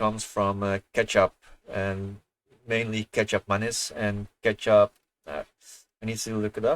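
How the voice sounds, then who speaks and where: A man's fairly low, monotone voice at a fairly slow pace, flat in intonation, dry and close with no echo, on a very clean recording with a silent background. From Netherlands. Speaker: gaming streamer. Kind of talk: casual chat. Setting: livestream. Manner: soft-spoken; halting.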